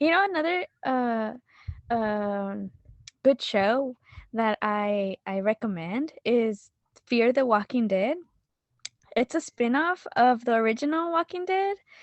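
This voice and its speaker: In a Spanish accent, a woman with a high pitch and very wide pitch swings speaks at a very slow pace with long, frequent pauses. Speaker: podcast guest. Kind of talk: casual chat. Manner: halting, many fillers.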